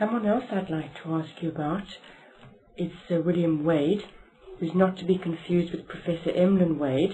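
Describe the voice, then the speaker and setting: Fairly even intonation from a woman at a moderate pace, with light background noise. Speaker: interviewer. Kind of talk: oral history interview. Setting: library. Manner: formal.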